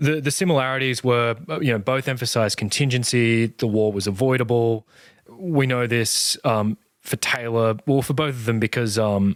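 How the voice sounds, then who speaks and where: Here a man uses a normal speaking voice at a medium pitch. His pace is moderate and his pitch variation ordinary. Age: younger than guest. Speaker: podcast interviewer. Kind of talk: interview conversation.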